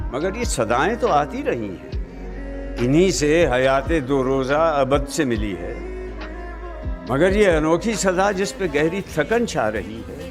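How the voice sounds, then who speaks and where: A man's fairly high voice with very wide pitch swings, music playing in the background. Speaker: poetry narrator. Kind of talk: poetry reading. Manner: calm, soulful.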